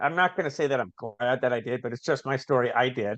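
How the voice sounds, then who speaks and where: A man's medium-pitched voice with ordinary pitch variation, dry and close with no echo, over a quiet background. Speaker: recovering addict, author and business owner. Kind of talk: podcast interview. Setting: video call. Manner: fast; animated.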